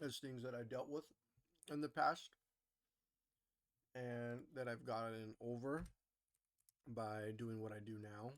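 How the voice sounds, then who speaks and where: A man at a fairly slow pace, with fairly even intonation and long, frequent pauses. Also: medium pitch for a man. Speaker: day trader streaming live trades. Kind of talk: live trading commentary. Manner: loud; casual, filler-heavy.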